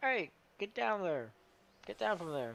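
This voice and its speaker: In a put-on character voice, a man speaks at a moderate pace with a fairly high pitch. His pitch swings very widely. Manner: gruff, cranky.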